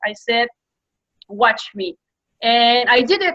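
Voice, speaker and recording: A woman's high-pitched, bright, sharp voice at a fairly slow pace. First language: French. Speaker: entrepreneur and media coach. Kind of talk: interview.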